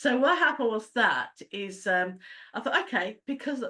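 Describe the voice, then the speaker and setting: A woman speaks with a British accent. Her intonation is lively and her pace fairly quick. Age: 60s. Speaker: travel agent. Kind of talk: business presentation. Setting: online meeting. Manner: halting.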